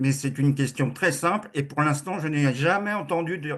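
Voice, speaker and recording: A man with a normal speaking voice talks with ordinary pitch variation. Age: 60s. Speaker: webinar participant. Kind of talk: question in online debate.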